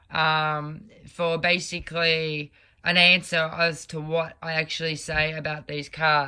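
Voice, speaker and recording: In an Australian accent, a woman speaks at a fairly slow pace with a bright, sharp tone, a very deep, low pitch and monotone, flat intonation, in a very clean recording with a silent background. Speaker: tarot reader. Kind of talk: tarot reading monologue.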